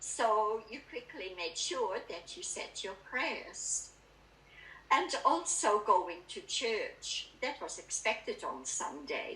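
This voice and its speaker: In a Dutch accent, a woman speaks at a very slow pace with big swings in loudness and audible room echo. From Netherlands. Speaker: spiritual speaker. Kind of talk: talk at a spiritualist church service. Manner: calm, reflective.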